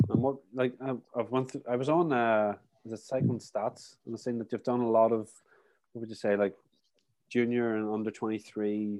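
A medium-pitched man with an Irish accent and fairly even intonation. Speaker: podcast host, cyclist. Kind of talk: casual chat.

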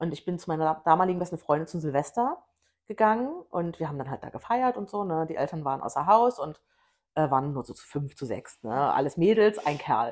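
Her fairly low voice moves at a fairly quick pace, and this woman shows very wide pitch swings and big swings in loudness. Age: 30s. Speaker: podcast co-host. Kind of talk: casual chat.

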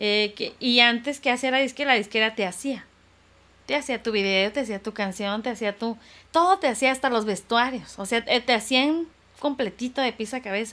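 On a very clean recording with a silent background, a woman with a fairly high, bright, sharp voice talks at a moderate pace with ordinary pitch variation. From Tijuana, Mexico (born in Irapuato, Guanajuato). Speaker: singer. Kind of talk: interview.

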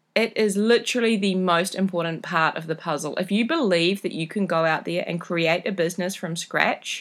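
An animated woman with a New Zealand accent talks at a moderate pace, her pitch varying in an ordinary way. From New Zealand, rural. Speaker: podcast host, travel community founder. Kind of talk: casual solo podcast monologue.

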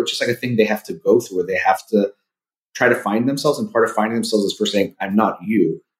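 Here a man speaks in a Californian accent. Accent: general American, Californian. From US, Southern California. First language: Persian (Farsi). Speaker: clinical psychologist. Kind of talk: casual interview.

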